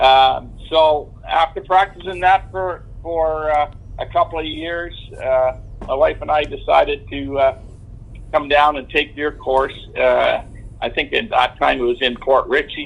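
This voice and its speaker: A man in a Canadian accent at a fairly slow pace, over noticeable background noise. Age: 70s. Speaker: veteran motorcycle rider. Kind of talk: interview. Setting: phone call. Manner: halting, many fillers.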